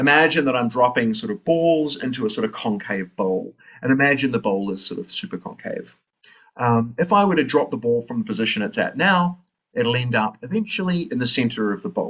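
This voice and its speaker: This man, with a New Zealand accent, talks fairly quickly at a fairly high pitch, his voice making very wide pitch swings. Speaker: philosophy lecturer. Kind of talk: lecture.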